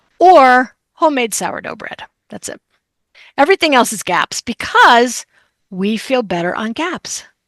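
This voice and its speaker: An animated tone with an American accent, very wide pitch swings and big swings in loudness, at a fairly slow pace, in a dry, close sound with no echo over a quiet background. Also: woman, high pitch for a woman. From New Jersey. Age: 60s. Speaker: chef and diet expert. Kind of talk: podcast interview.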